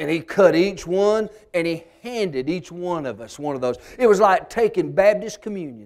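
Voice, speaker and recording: A man with a Southern US accent, high-pitched, with ordinary pitch variation. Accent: Southern American. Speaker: storyteller and humorist. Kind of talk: humorous folk storytelling.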